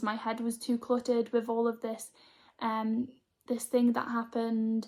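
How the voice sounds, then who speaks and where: A woman with a British accent is heard in a very clean recording with a silent background. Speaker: spiritual healer and vlogger. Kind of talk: casual vlog monologue. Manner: scattered, hesitant.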